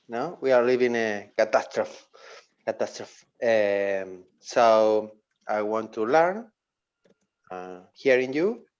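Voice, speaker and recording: With an Argentine accent, a man speaks at a very slow pace and a medium pitch, leaving long, frequent pauses over a quiet background. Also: ordinary pitch variation. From Argentina. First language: Spanish. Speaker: meeting participant. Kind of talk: self-introduction. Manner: halting.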